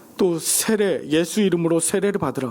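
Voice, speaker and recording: A man talks at a moderate pace. His voice sits high in pitch. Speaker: pastor. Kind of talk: sermon. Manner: animated.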